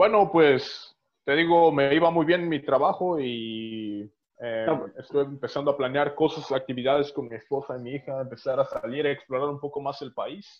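The man uses an unremarkable speaking voice at a moderate pace. His pitch is fairly high, with ordinary pitch variation. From Oaxaca, Mexico. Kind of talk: casual chat.

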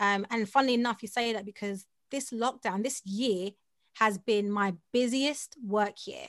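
In a South London accent, a woman talks in a fairly high pitch. The background is quiet. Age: 30s. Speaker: voiceover artist and audio producer. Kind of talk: casual interview chat. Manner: fast talker; animated, laughs often.

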